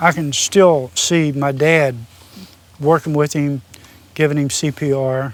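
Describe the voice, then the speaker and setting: At a fairly slow pace with long, frequent pauses, a man with an Appalachian accent speaks in a fairly high voice. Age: 60s. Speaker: former machinist and welder. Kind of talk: interview, personal storytelling.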